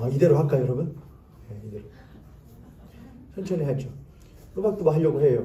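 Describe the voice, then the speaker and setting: Very fast and full of long, frequent pauses, a man speaks in a fairly high, somewhat breathy voice with a dark, mellow tone. His intonation is lively, his loudness swings widely, and the room echo is audible. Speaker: pastor. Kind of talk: sermon. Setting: church.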